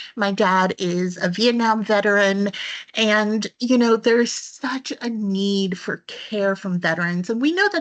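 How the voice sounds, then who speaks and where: Against a quiet background, a woman talks at a fairly slow pace with a fairly high pitch. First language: Spanish. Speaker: webinar presenter. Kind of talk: webinar presentation.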